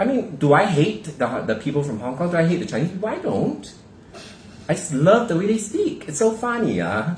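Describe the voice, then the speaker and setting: Someone with a Singaporean accent speaks in an animated tone at a fairly quick pace over noticeable background noise. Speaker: podcast co-host. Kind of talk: casual chat.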